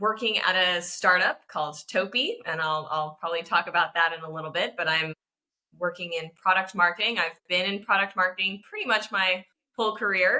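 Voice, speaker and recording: A woman with an American accent has a bright, sharp tone at a medium pitch. She keeps ordinary pitch variation and a moderate pace. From Japan, Tokyo (international school, American mother). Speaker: product marketing professional. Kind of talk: interview conversation.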